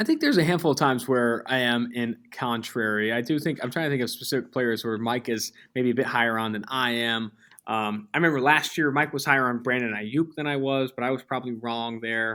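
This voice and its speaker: A man's medium-pitched voice, bright and sharp in tone, with an American accent, at a fairly quick pace, in a very clean recording with a silent background. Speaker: football analyst. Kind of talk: podcast interview. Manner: fast.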